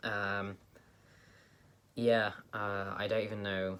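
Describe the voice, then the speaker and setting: A man speaks in a monotone, flat intonation. His pitch is fairly low. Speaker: vlogger. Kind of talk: casual vlog update. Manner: hesitant, many fillers.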